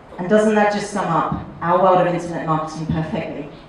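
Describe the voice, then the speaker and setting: Noticeable background noise and audible room echo around a woman talking at a fairly quick pace. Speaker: marketing workshop trainer. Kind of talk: seminar lecture. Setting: hotel conference room with live audience. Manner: fast; animated.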